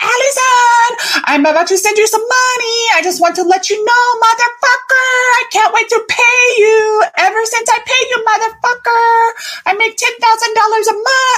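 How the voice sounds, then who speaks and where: A woman's put-on character voice, extremely high in pitch, at a moderate pace over light background noise. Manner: excited, profane.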